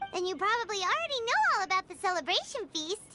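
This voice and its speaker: Squeaky, extremely high put-on character voice at a very fast pace. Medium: video game. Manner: bubbly, chatty.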